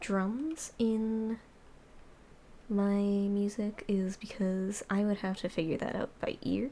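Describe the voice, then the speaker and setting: A quiet voice at a very slow pace. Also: woman. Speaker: Minecraft note block cover maker. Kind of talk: casual tutorial commentary over gameplay.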